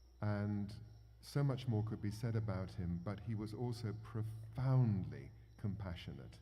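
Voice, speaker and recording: A man's fairly low, somewhat breathy voice with a dark, mellow tone and an English accent, at a fairly slow pace, with audible room echo. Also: ordinary pitch variation. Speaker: performer introducing songs. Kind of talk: talk to audience with interpreter. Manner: halting.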